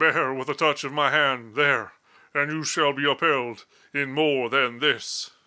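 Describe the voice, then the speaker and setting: A man speaks in a put-on character voice. His pitch is fairly high. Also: fairly slow pace. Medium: read story. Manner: solemn, measured.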